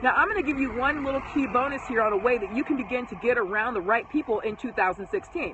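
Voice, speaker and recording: A woman's high-pitched, animated voice with lively intonation, a very fast pace and hardly any pauses, over noticeable background noise. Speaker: home business marketer. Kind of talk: live stream talk.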